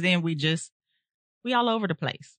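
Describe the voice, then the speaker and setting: The sound is dry and close, with no echo. A fairly low-pitched woman speaks with lively intonation. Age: 40s. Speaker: podcast host. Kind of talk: casual chat. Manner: animated.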